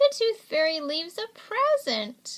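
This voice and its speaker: A woman puts on a squeaky character voice. She speaks at a fairly slow pace with very wide pitch swings. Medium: read story.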